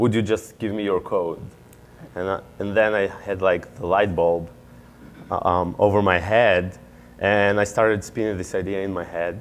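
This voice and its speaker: A man with a fairly low pitch speaks in a monotone, flat intonation at a moderate pace. He leaves long, frequent pauses. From Israel. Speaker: MBA student and startup founder. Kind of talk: interview.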